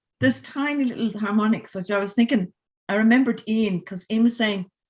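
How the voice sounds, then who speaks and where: Somewhat breathy female speech with an Irish accent, ordinary pitch variation and a fairly quick pace. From Ireland. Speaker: composer. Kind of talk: casual chat. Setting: video call.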